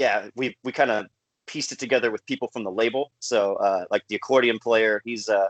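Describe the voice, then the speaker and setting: An ordinary speaking voice comes from a man with an American accent, medium in pitch, talking at a fairly quick pace with fairly even intonation. The sound is dry and close with no echo, and the background is quiet. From California. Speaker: folk punk musician. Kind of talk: casual interview. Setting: video call.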